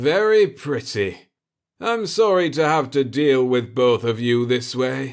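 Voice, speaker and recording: A man puts on a character voice, pitched medium and delivered fairly slowly. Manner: menacing, cold.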